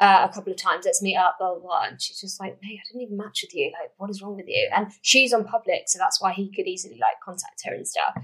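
Barely pausing, a woman with an English accent talks very fast, her loudness swinging widely. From England. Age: 20s. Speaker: podcast host. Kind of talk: casual chat. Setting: at home recording, with wine.

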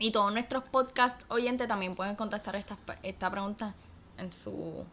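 The voice carries vocal fry. Its intonation is fairly even. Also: woman. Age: 18. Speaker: podcast co-host, university student. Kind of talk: casual chat.

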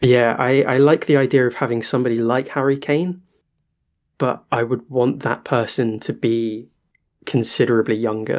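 A man with a British accent speaks at a moderate pace in a medium pitch, his intonation fairly even, on a very clean recording with a silent background. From Britain. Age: 20s. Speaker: football podcast co-host. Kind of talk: casual chat.

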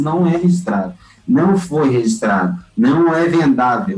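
Over noticeable background noise, a man with a fairly high pitch talks at a moderate pace, his voice making very wide pitch swings. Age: 30s. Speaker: music producer and festival organizer. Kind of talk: podcast interview.

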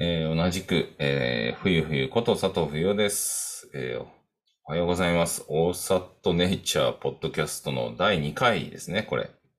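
Music plays behind a man with a very deep, low pitch who speaks at a fairly slow pace with ordinary pitch variation. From Tokyo, Japan. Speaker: podcast co-host, coaching program faculty. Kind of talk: casual chat. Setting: home, upstairs room.

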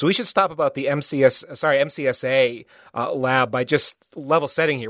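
With an American accent and ordinary pitch variation, this is an ordinary speaking voice moving at a fairly quick pace. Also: man. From United States. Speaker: podcast host. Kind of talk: casual interview chat.

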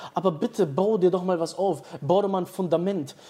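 A man's high pitch in a dark, mellow tone. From Dortmund, western Germany. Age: 20s. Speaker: short-term rental entrepreneur. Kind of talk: casual interview.

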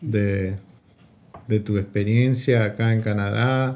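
This man's voice has a dark, mellow tone. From Argentina. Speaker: podcast host. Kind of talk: casual chat.

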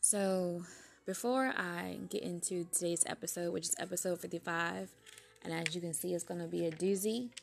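Soft-spoken and fairly low-pitched, a woman talks at a moderate pace with fairly even intonation. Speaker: podcast host. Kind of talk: casual talk.

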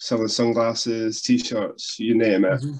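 A man talks with a Scottish accent. The background is quiet. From Scotland. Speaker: wrestling podcast co-host. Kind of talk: casual chat.

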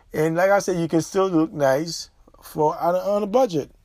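An animated man with a fairly high pitch, ordinary pitch variation and a fairly quick pace, on a very clean recording with a silent background. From born abroad, immigrated to the US. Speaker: podcast host. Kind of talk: solo commentary monologue. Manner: animated, repetitive.

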